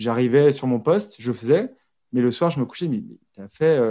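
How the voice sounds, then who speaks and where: Here a man talks at a fairly quick pace in a dark, mellow tone. The recording is very clean, with a silent background. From Brittany, France. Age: 40s. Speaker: podcaster, former corporate employee. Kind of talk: interview conversation. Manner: halting, many hesitations and repetitions.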